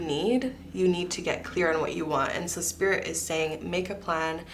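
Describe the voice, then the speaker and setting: A woman's fairly low voice at a moderate pace, with fairly even intonation, audible room echo and noticeable background noise. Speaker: tarot reader. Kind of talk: psychic tarot reading.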